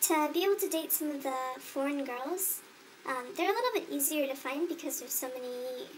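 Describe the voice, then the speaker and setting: A woman talks with a high pitch and lively intonation at a moderate pace. Noticeable background noise can be heard. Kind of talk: interview answer.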